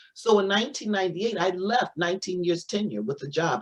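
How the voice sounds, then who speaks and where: A woman with an American accent talks at a fairly low pitch, over noticeable background noise. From Missouri, US Midwest. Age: 60s. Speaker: spiritual teacher, doctor of metaphysics. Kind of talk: interview testimony. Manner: halting, many repetitions.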